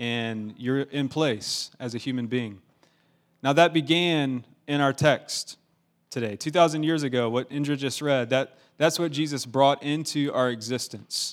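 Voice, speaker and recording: A man with a plain, everyday voice and an American accent speaks fairly slowly at a fairly high pitch with ordinary pitch variation, on a very clean recording with a silent background. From US South, Augusta, Georgia. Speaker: pastor. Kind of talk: sermon.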